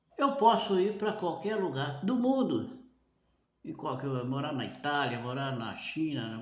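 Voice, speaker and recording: A man at a very slow pace, his pitch swinging very widely, with audible room echo. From Brazil. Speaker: preacher. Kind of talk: sermon.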